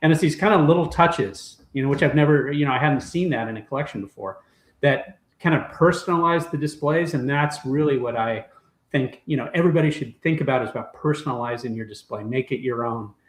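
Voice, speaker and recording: Somewhat breathy, this man talks at a very fast pace with a fairly high pitch and ordinary pitch variation. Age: 60s. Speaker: toy collector and former toy brand executive. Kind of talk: casual chat.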